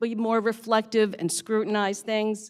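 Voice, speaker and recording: A woman with an American accent speaks at a moderate pace in a fairly high pitch. It is an ordinary speaking voice, on a very clean recording with a silent background. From Pennsylvania, Bucks County. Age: 60s. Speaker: county commissioner. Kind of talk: inauguration speech.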